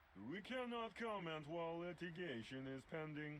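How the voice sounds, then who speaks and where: This is a put-on character voice at a moderate pace. Background noise is clearly heard. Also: man, high pitch for a man. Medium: video game. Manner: monotone, literal, deadpan.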